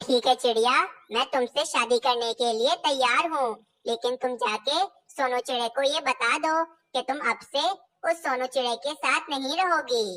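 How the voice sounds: A cartoonish character voice, female-sounding and high-pitched for a woman, at a moderate pace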